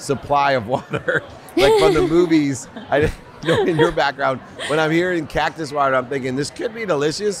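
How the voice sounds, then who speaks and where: A man speaks at a moderate pace in a dry recording with no echo and light background noise. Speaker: podcast host. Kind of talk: interview question. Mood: upbeat, laughing. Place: hall. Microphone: studio mic.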